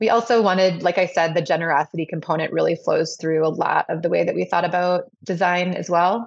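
A woman with an American accent has an unremarkable speaking voice, fairly low in pitch. She talks at a fairly quick pace with hardly any pauses, over a quiet background. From Madison, Wisconsin, US Midwest. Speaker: restaurant owner. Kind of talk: interview.

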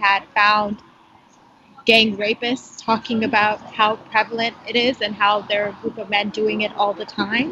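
Against noticeable background noise, a woman speaks at a moderate pace in a fairly high voice with monotone, flat intonation. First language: not English. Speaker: foreign correspondent. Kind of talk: interview. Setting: phone call outside a coffee shop.

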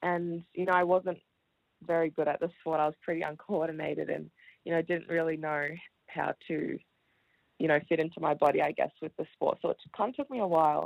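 A woman speaks at a fairly quick pace in an Australian accent. Her intonation stays fairly even. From Melbourne, Australia. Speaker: professional basketball player. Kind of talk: radio interview. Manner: hesitant with fillers.

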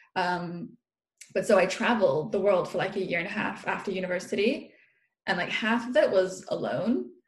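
With audible room echo, a woman speaks at medium pitch and a moderate pace, somewhat breathy, with ordinary pitch variation. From international upbringing, Irish parents, UK-influenced. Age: 20s. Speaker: food and body coach. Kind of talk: casual interview chat. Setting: remote recording, sitting on her floor. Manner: animated, laughs often.

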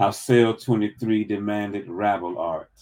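A man speaks with ordinary pitch variation at a fairly low pitch. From US South, Birmingham, Alabama. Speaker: poet and English professor. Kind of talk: dramatic poetry reading of his own prison poems, spoken-word style. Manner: measured, deliberate cadence with weighty pauses between images; hesitant in conversation, many ums and uhs.

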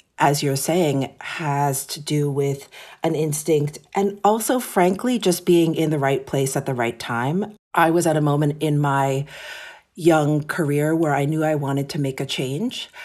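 With an American accent, a woman talks at a fairly slow pace in a very deep, low pitch with ordinary pitch variation. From New York City. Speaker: fashion editor. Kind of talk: interview.

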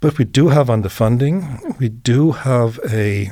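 In a German accent, a man talks at a very slow pace in a dark, mellow tone with ordinary pitch variation. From Germany. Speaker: professor of early childhood education. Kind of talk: interview. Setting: studio. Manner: halting.

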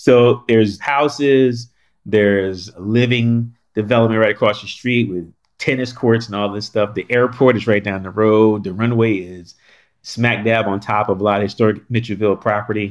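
At a moderate pace, a man with an ordinary speaking voice and a fairly low pitch talks with fairly even intonation. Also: very clean recording, silent background. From North Carolina. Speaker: historic site director. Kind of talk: interview.

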